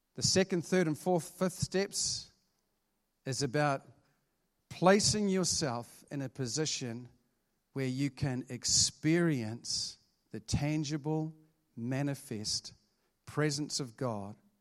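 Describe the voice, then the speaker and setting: Lively intonation comes through at a very slow pace, with long, frequent pauses. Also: man. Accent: New Zealand. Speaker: pastor. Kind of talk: sermon.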